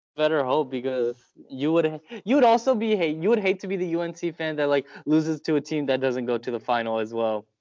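A man talks at a fairly quick pace in an ordinary speaking voice. His pitch is fairly high and his intonation lively. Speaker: sports podcast co-host. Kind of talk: casual chat. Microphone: phone mic.

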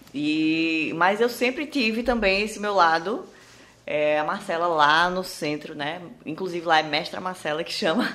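A woman with a fairly low pitch and a bright, sharp tone talks at a fairly slow pace, her intonation lively. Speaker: entrepreneur. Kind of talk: interview. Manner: talkative.

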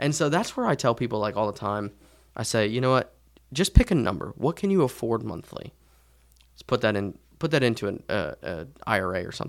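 In a very clean recording with a silent background, a man with a plain, everyday voice speaks at a fairly quick pace and medium pitch, with lively intonation and big swings in loudness. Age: 20s. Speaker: tax and personal finance expert. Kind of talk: casual chat.

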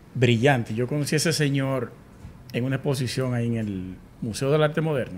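This is a man with a plain, everyday voice. He talks at a fairly quick pace. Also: medium pitch for a man, ordinary pitch variation. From Dominican Republic, Sosúa, Puerto Plata. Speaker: podcast host, architect. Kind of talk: casual interview.

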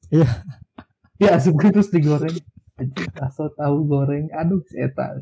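A man's fairly high voice with ordinary pitch variation, a fairly slow pace, and long, frequent pauses. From Bandung, West Java. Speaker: podcast co-host. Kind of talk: casual chat.

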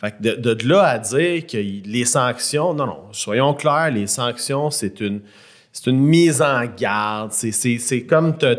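Speaking very slowly in a Quebec accent, a man uses a medium pitch with ordinary pitch variation. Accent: Québécois French. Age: 30s. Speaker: podcast co-host. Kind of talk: casual chat.

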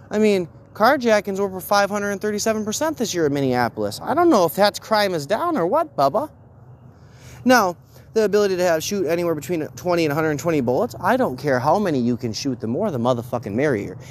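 Pitched high with very wide swings, a man talks at a fairly quick pace in an animated tone. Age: 30s. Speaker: political commentary podcaster. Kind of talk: solo political commentary rant.

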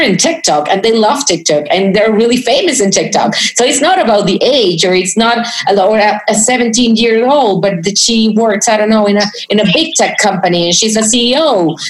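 A woman's fairly high voice with lively intonation and very even loudness, at a moderate pace, over noticeable background noise. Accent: Spanish. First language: Spanish. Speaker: podcast host. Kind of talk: interview. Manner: halting.

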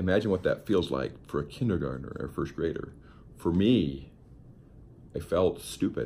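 With an American accent, a man speaks at a very deep, low pitch and a moderate pace, with vocal fry and lively intonation. His pauses are long and frequent. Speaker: podcast host, motivational speaker. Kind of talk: motivational monologue. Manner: earnest, instructive.

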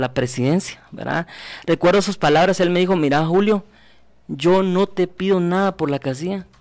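A man talks in a normal speaking voice at a moderate pace. His pitch varies in an ordinary way. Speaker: political candidate. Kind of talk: radio interview.

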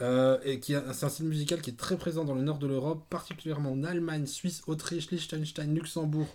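An unremarkable speaking voice moves at a fairly quick pace with hardly any pauses. The intonation stays fairly even. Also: man, fairly high pitch for a man. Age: 30s. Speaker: podcast host. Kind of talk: casual chat.

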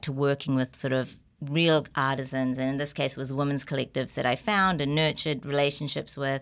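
A woman with a New Zealand accent speaks at a very deep, low pitch with fairly even intonation. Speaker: podcast guest. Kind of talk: casual chat.

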